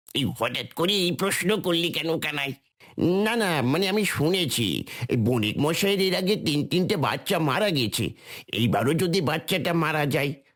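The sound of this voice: A cartoonish character voice at a moderate pace, very even in loudness. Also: man, fairly high pitch for a man.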